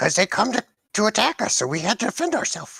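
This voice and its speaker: A put-on character voice at a fairly high pitch races along at a very fast pace with very wide pitch swings. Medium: actual play. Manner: simple broken speech.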